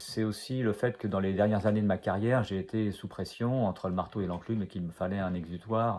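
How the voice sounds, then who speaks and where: Very fast, fairly evenly intoned speech from a man with a fairly low pitch. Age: 60s. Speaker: author, retired food industry engineer. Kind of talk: author interview about his book. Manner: hesitant, many filler sounds.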